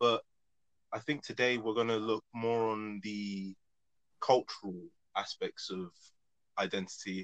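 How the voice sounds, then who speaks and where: At a fairly slow pace, a man with a fairly low voice speaks in a flat monotone, with a dry, close sound and no echo. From England, Nigerian heritage. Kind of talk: casual discussion.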